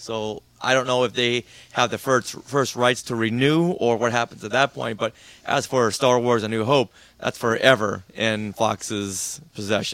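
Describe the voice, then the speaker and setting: At a fairly slow pace, a man with a plain, everyday voice speaks with fairly even intonation. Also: medium pitch for a man. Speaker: podcast guest and Star Wars fan. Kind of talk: casual chat.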